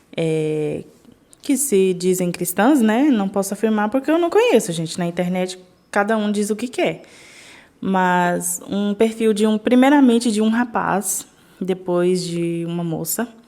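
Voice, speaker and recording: Dark and mellow in tone, a woman's medium-pitched voice carries lively intonation. She speaks at a fairly slow pace. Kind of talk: casual vlog talk.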